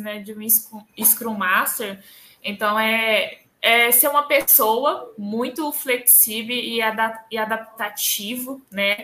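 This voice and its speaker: A woman's fairly high, bright, sharp voice with a northeastern Brazilian accent and fairly even intonation. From Northeast Brazil. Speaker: scrum master. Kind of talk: interview.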